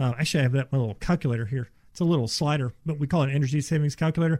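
Somewhat breathy speech rushes by at a very fast pace with ordinary pitch variation. The recording is very clean, dry and close, with a silent background and no echo. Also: man. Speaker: insulation contractor. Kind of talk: casual chat. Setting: studio.

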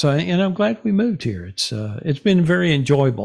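In a very clean recording with a silent background, a man talks with a Texan accent. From North Texas (Denison). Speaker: retired salesman and podcaster. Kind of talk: casual interview.

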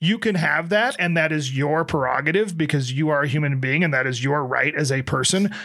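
At a moderate pace, a bright, sharp voice keeps very even loudness and ordinary pitch variation on a very clean recording with a silent background. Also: man. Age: 40s. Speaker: podcast co-host. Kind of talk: casual chat.

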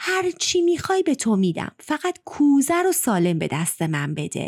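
A woman's put-on character voice, high-pitched and shaky, with very wide pitch swings. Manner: fearful, pleading.

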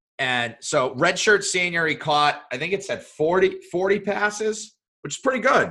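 A man speaks at a fairly slow pace in a raised, projected voice, his pitch high and his intonation lively. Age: 30s. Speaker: podcast co-host. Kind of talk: casual chat.

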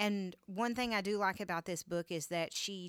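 In a very clean recording with a silent background and a dry, close sound with no echo, a woman uses a normal speaking voice at medium pitch, moderate pace and ordinary pitch variation. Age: 30s. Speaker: podcast host. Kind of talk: casual chat.

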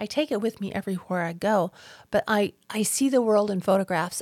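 In a normal speaking voice with an American accent, a woman speaks at a fairly high pitch and fairly quick pace, with a dry, close sound with no echo on a very clean recording with a silent background. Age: 60s. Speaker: podcast host, abuse survivor. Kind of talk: solo podcast monologue.

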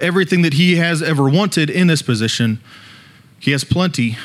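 A man speaks with a high-pitched voice. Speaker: student leader preacher. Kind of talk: sermon. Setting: church.

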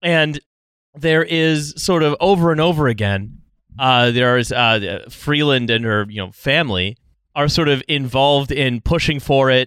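A man's unremarkable speaking voice at medium pitch and moderate pace, with a Canadian accent, ordinary pitch variation, and a dry, close sound with no echo on a very clean recording with a silent background. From Canada. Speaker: podcast co-host. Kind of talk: casual chat.

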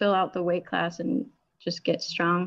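Speaking with an American accent, this woman holds a medium pitch with ordinary pitch variation. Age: 20s. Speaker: powerlifter. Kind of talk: interview.

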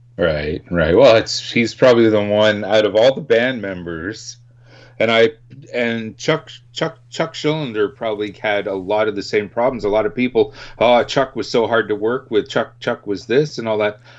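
A man talks at a moderate pace. His voice sits at a medium pitch with ordinary pitch variation. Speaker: podcast host. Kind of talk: radio dj patter, promo and show intro. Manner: energetic, upbeat, punchy ad-read delivery; animated.

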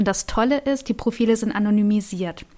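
An ordinary speaking voice moves at a fairly quick pace. Intonation stays fairly even in a very clean recording with a silent background. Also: woman. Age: 30s. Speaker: vocational school teacher and startup founder. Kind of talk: interview.

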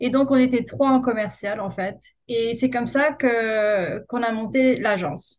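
This woman has a fairly high pitch and ordinary pitch variation, speaking at a fairly slow pace. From Corsica, France (Ajaccio). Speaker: marketing agency founder. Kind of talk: interview. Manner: hesitant, frequent fillers.

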